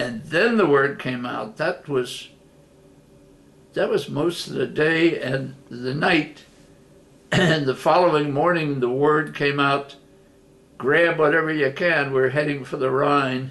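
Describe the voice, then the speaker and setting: A man talks at a very slow pace with long, frequent pauses and ordinary pitch variation. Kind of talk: personal storytelling interview. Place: home room. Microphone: webcam.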